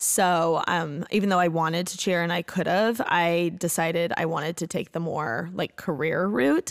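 A woman with an American accent and fairly low pitch, at a moderate pace with hardly any pauses, on a very clean recording with a silent background. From US Midwest, Bloomington, Indiana. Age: 20s. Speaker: podcast host. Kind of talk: casual chat. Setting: studio. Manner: animated.

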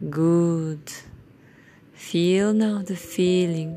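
A woman speaks with a soothing tone. Her pitch is fairly low. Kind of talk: guided self-hypnosis script, read as a soothing induction with countdowns. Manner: calm, gentle, reassuring instructions.

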